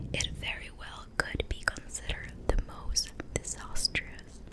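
A woman whispers at a very slow pace. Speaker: ASMR creator. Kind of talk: ASMR book reading to help sleep. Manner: whispered, soft-spoken. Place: home room. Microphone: studio mic.

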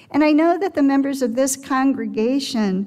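Against a quiet background, a woman with a high voice speaks at a fairly slow pace with ordinary pitch variation. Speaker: speaker. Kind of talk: sermon. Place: church. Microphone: headset.

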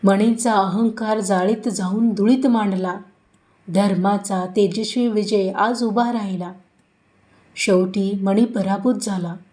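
A woman speaks at a medium pitch in a monotone with flat intonation, her tone dark and mellow and somewhat breathy. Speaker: narrator. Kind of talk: devotional story narration with verses.

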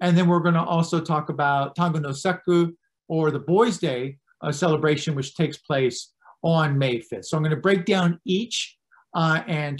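At a moderate pace and with ordinary pitch variation, a man speaks over a quiet background. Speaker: presenter. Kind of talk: lecture. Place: home room. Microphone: webcam.

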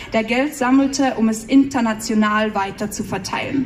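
A woman with an Austrian accent speaks at a high pitch with fairly even intonation over light background noise. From Austria, Salzburg region. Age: 20s. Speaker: poetry slammer. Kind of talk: poetry slam performance. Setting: live stage, audience. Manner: mix of standard German and dialect. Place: stage.

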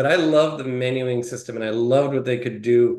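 Over a quiet background with audible room echo, a man with an American accent speaks at a moderate pace and medium pitch. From US Midwest, Detroit, Michigan; Michigan. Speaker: tech company CTO; interview guest. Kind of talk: casual interview. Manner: hesitant, many fillers. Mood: jovial, animated.

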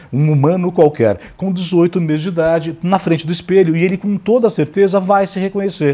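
A man's high-pitched voice at a fairly quick pace, with ordinary pitch variation and hardly any pauses. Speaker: professor. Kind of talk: lecture. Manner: fast. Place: studio.

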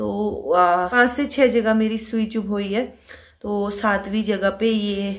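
Against a quiet background, a woman speaks very slowly in a tired tone with fairly even intonation. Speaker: vlogger. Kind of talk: casual vlog chat. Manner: weak, tired voice of a sick woman. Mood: tired, subdued. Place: home room. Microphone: phone near.

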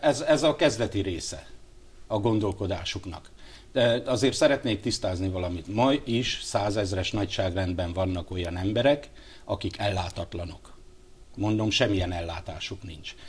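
A man's fairly low voice, somewhat breathy, moves with ordinary pitch variation. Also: moderate pace. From Hungary. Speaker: politician. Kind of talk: TV interview. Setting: studio. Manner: halting. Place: studio. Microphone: lapel.

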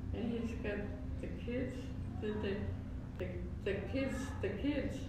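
Over loud background noise, a woman talks at a fairly slow pace, with audible room echo. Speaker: elderly aunt. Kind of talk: casual conversation. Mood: relaxed, cheerful. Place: home room.

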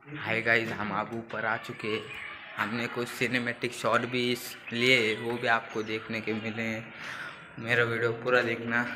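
A man talks at a fairly slow pace in a monotone, flat intonation. Noticeable background noise sits behind him. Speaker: vlogger. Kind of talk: casual vlog chat. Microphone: phone near.

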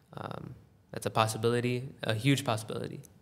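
At a moderate pace, a man with an American accent speaks in a medium pitch with fairly even intonation. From United States. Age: young. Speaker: tabla player. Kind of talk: casual interview.

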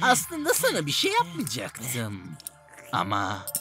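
A cartoonish character voice goes at a fairly slow pace as clear music plays in the background. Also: man, fairly high pitch for a man. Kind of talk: adult comedy cartoon voicing. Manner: calm, menacing.

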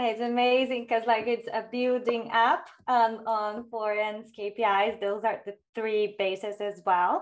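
A woman's fairly high voice with a Brazilian accent, monotone and flat, fairly slow yet with hardly any pauses. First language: Portuguese. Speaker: corporate communications executive. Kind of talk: webinar panel discussion. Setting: video call.

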